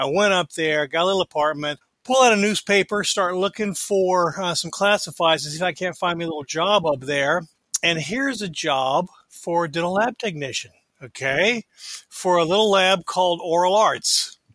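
This man has a high pitch and a bright, sharp tone. He keeps a moderate pace with ordinary pitch variation. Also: dry, close sound with no echo. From Florida, small town. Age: 50s. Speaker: dental lab owner and technician. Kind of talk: interview storytelling.

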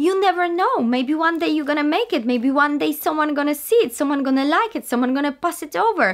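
A woman talks at a fairly quick pace with hardly any pauses, her pitch high and her intonation lively. The background is quiet. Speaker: actress vlogger. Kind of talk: casual vlog chat. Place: home room. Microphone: webcam.

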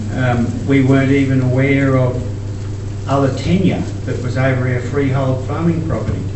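Fairly even intonation comes through audible room echo and noticeable background noise. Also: man, moderate pace. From Queensland, Australia. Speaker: farmer. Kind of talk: conference talk. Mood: earnest, concerned. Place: hall. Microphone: camera far.

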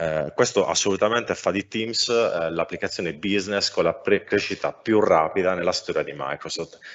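A man at a moderate pace, with hardly any pauses. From Sardinia, Cagliari. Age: 30s. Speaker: software architect. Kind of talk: technical talk. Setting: live stream. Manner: hesitant, many fillers.

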